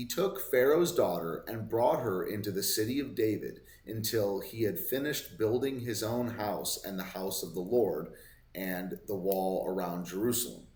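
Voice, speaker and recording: The voice is somewhat breathy, moving at a moderate pace with lively intonation and audible room echo. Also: man, medium pitch for a man. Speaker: Bible study vlogger. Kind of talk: Bible reading with commentary. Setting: hotel room. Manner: casual, halting with self-corrections; slurring words.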